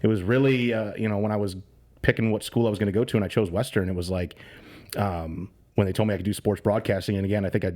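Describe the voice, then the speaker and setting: Speaking very fast with an American accent, a man has a fairly low pitch and a dark, mellow tone. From northern Illinois, US. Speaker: sports radio host. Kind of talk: podcast interview. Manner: loud and excitable; conversational, with fillers.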